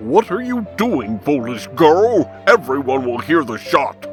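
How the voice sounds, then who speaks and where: Clear music plays in the background behind a put-on character voice. The delivery is fairly slow, with very wide pitch swings. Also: man, fairly high pitch for a man. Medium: fan dub.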